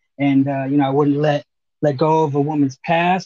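Speaking in an American accent, a man moves at a very fast pace with monotone, flat intonation. His fairly high voice has a dark, mellow tone. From Arizona. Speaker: podcast guest. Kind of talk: casual chat.

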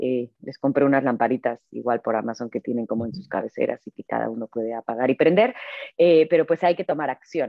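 At a fairly quick pace, a woman speaks with a very deep, low pitch. Her pitch varies in an ordinary way. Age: 40s. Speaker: business executive and author. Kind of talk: interview.

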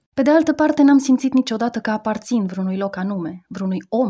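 On a very clean recording with a silent background, a woman speaks in a fairly high, somewhat breathy voice with a dark, mellow tone. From Romania. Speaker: radio columnist. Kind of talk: scripted narration. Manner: reflective.

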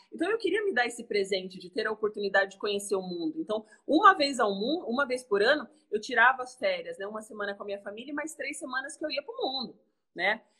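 Here a woman talks at a very fast pace with a high pitch. Her intonation is lively, and her loudness swings widely. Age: 30s. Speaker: entrepreneur and mother. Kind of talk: casual chat.

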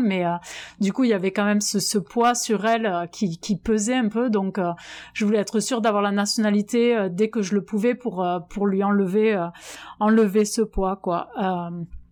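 A woman at a moderate pace, medium in pitch, with fairly even intonation. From southwest France (Albi, Tarn). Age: 30s. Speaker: French expatriate in the US. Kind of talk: testimony. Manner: halting.

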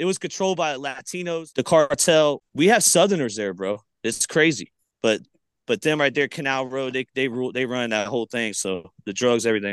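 At a fairly quick pace with lively intonation, a plain, everyday voice comes through with a dry, close sound, no echo and a quiet background. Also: man, medium pitch for a man. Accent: American. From Florida Gulf Coast, Palmetto/Bradenton area. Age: 30s. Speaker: rapper and YouTube host. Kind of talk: casual interview storytelling. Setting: remote call.

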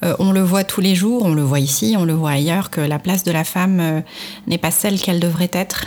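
The speech moves at a fairly quick pace with very even loudness and ordinary pitch variation, over noticeable background noise. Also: woman, fairly low pitch for a woman. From Morocco, Marrakech. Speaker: entrepreneur, founder of a crafts brand. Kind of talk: interview. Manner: halting, many repetitions and hesitations.

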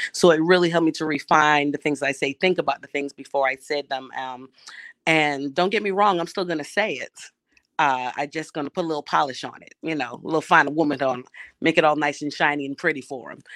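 Very fast, with big swings in loudness and ordinary pitch variation, a woman with an American accent and very deep, low pitch is captured dry and close with no echo on a very clean recording with a silent background. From Brooklyn, New York. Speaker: school principal. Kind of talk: casual chat.

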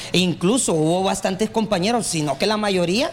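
A man with a Honduran accent speaks at a moderate pace and high pitch. His intonation is lively, over noticeable background noise. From Honduras, Tegucigalpa. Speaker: radio host and political candidate. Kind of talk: casual interview.

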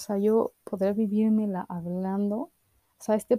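With a Mexican accent, a woman speaks in a dark, mellow, somewhat breathy tone at medium pitch, her intonation fairly even and the sound dry and close with no echo. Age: 20s. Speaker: podcast host. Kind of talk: casual monologue.

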